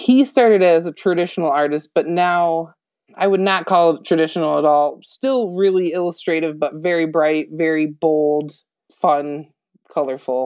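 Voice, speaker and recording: At a moderate pace, a woman with a normal speaking voice talks in a fairly low pitch with ordinary pitch variation. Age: 30s. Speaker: tattoo artist. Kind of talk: casual interview chat.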